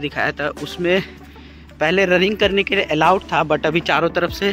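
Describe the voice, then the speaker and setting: A man's high-pitched voice with fairly even intonation, a dry sound with no echo, and faint music in the background. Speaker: travel vlogger. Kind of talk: casual vlog chat. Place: street. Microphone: earbuds.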